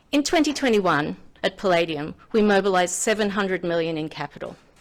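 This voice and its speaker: An Australian accent at a moderate pace with ordinary pitch variation, on a very clean recording with a silent background. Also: woman. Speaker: finance executive. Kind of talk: conference speech. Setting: podium with live audience.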